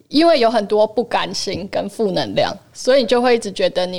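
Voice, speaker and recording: A woman is speaking. Her pace is moderate. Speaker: film distributor and former actress. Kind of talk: casual chat.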